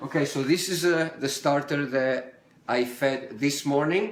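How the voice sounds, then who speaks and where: A man speaks with an Italian accent. Room echo is audible. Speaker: home cook. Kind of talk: live stream cooking tutorial. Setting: home kitchen, daughter filming. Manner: casual, hesitant with fillers.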